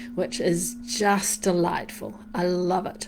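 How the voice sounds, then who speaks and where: A woman's warm, upbeat tone at medium pitch, with ordinary pitch variation and a very slow pace. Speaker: meditation guide. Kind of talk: casual live-stream greeting.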